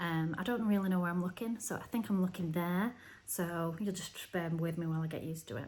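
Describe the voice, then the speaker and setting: A woman with a northern English accent speaks at a moderate pace in a fairly low, somewhat breathy voice. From northern England, Oldham near Manchester. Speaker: knitting podcaster. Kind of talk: casual video podcast chat. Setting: at home. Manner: hesitant, many fillers.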